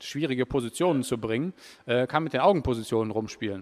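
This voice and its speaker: His voice sits at a medium pitch, and the man keeps up a fairly quick pace. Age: 40s. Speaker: personal trainer. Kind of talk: interview.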